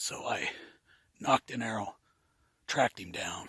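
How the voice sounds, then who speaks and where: A man talks with vocal fry and a bright, sharp tone. The sound is dry and close, with no echo. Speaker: hunter. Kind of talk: hunting field commentary. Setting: outdoors in a tree stand, snow.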